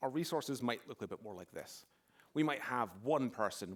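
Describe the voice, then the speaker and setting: A man with a Scottish accent talks at a fairly quick pace. His pitch variation is ordinary. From Scotland, near Glasgow. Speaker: security expert, conference speaker. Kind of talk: conference talk. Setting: stage with audience.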